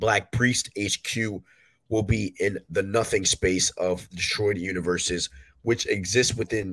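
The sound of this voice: The tone is fairly bright. Delivery comes at a fairly slow pace. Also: man.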